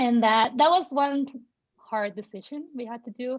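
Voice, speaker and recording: The speaker is a woman with a high pitch. She talks at a moderate pace with ordinary pitch variation. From Mexico. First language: Spanish. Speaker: parent of a child in early intervention. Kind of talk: panel conversation.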